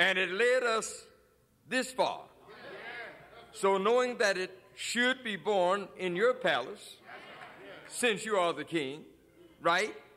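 A high-pitched man's raised, projected voice, bright and sharp in tone, very slow with long, frequent pauses and ordinary pitch variation, over light background noise. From Chicago, USA. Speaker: preacher, pastor. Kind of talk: sermon preaching to a congregation. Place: church. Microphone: podium.

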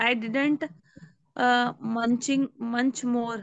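With an Indian accent, a woman speaks at a very slow pace in a high pitch, the sound dry with no echo against a quiet background. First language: Hindi. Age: 20s. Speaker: English learner. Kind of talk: language class practice. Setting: video call. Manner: halting. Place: home room. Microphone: video call.

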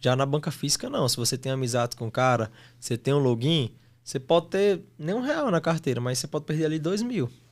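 Very fast speech with lively intonation against a quiet background. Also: man, fairly high pitch for a man. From Brazil, Mossoró (Rio Grande do Norte); Rio Grande do Norte, Brazil. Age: 20s. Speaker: sports betting tipster; podcast guest. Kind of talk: casual interview; interview answer. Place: studio. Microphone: studio mic.

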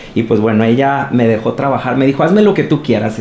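Noticeable background noise can be heard while a man talks. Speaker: makeup artist. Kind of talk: interview.

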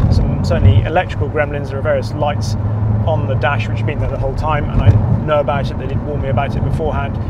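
Loud background noise accompanies a man recorded in a dry sound with no echo. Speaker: car reviewer driving. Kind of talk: commentary. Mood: relaxed, enthusiastic. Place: car. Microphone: lapel.

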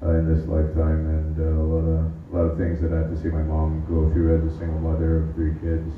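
Light background noise and audible room echo surround a man's very deep, low voice. His intonation is monotone and flat. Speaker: open-mic comedian. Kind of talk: stand-up set, personal monologue. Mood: earnest, hesitant, halting. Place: stage. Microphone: camera far.

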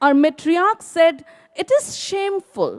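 A woman's extremely high-pitched voice against a quiet background. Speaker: theatre director and actor; actor. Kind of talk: panel discussion. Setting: stage with audience. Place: stage. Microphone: handheld.

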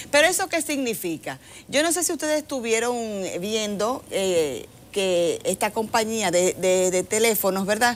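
A woman speaks at a fairly high pitch and a fairly slow pace. Her pitch swings very widely. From Dominican Republic. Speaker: government agency director; TV guest. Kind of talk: interview. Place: studio. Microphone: lapel.

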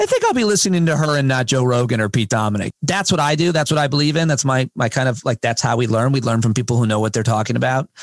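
A man talks at a very fast pace with hardly any pauses, his loudness very even and his pitch varying in an ordinary way. The sound is dry with no echo, and the background is quiet. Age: 40s. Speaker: stand-up comedian and podcaster; stand-up comedian, podcaster. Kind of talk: casual chat. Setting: remote call from home shed. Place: studio. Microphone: studio mic.

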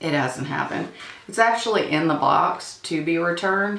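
A woman's voice, at an even tempo, carries some audible reverberation from the room. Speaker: beauty vlogger. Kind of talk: casual chat. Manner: chatty. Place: home room.

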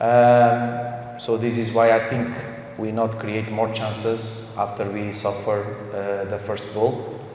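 Slowly and in a flat monotone, a man speaks at a fairly low pitch. Room echo is audible.

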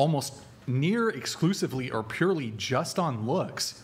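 This is a man speaking. His pitch sits fairly high. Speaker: livestream host. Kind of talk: heated argument. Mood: assertive, lecturing. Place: studio. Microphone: studio mic.

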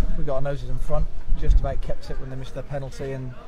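There is noticeable background noise. A man talks at a very fast pace. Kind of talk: interview answer. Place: stadium. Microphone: phone near.

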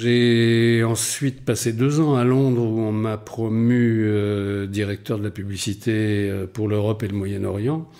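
A man's dark, mellow tone at a medium pitch, very slow pace, fairly even intonation and hardly any pauses. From Brittany, Rennes. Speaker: dubbing writer. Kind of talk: interview. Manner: hesitant with fillers.

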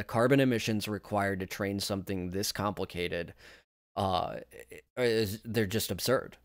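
In a very clean recording with a silent background, a man with a plain, everyday voice speaks at a moderate pace, his fairly low pitch showing ordinary variation. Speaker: tech YouTuber. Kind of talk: casual commentary video.

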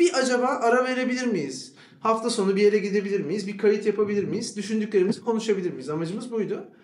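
Noticeable background noise sits behind a man speaking at a high pitch. He talks at a very fast pace with hardly any pauses and ordinary pitch variation. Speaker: podcast co-host and doctor. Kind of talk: live podcast conversation. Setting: stage with audience.

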